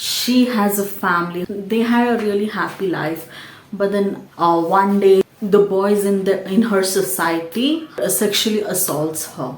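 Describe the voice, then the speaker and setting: Speaking with a Keralan accent and ordinary pitch variation, a woman is heard with audible room echo and noticeable background noise. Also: medium pitch for a woman, fairly slow pace. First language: Malayalam. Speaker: book and movie YouTuber. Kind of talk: casual movie recommendation vlog.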